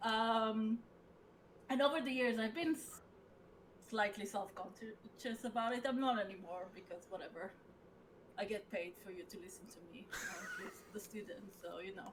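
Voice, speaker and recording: A woman speaks with a strong Israeli accent. Her pitch is fairly high. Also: ordinary pitch variation, moderate pace, big swings in loudness. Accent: thick Israeli. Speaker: assistant professor, game designer. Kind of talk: casual interview chat. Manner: halting, many fillers.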